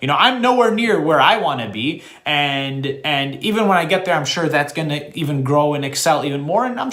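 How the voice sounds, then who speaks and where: Amid audible room echo, a man with a fairly high pitch talks at a moderate pace, his intonation lively and his tone animated. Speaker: real estate agent. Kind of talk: monologue to camera.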